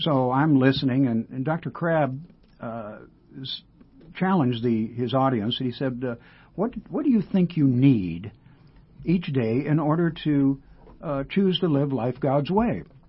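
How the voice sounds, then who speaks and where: Somewhat breathy and fairly high-pitched, a man speaks at a fairly slow pace with lively intonation and long, frequent pauses. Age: 80s+. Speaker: retired counselor. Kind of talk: radio interview. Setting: studio.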